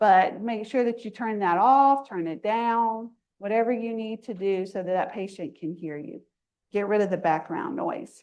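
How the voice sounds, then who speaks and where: A woman speaks at a moderate pace in a fairly high pitch. Her intonation is lively. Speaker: nursing instructor. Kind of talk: lecture. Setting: classroom. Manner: animated.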